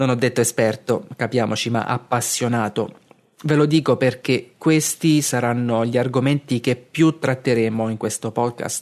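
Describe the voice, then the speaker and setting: A man speaks at a moderate pace with fairly even intonation. His is a plain, everyday voice. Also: medium pitch for a man. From Abruzzo, Italy (Castel di Sangro). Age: 30s. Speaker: podcast host and blogger. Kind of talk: reading aloud a blog article.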